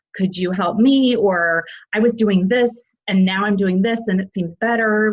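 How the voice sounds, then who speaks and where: A woman speaks at a fairly slow pace in a medium pitch. Her pitch varies in an ordinary way. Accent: American. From US Midwest, Illinois. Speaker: parent. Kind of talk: interview. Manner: halting.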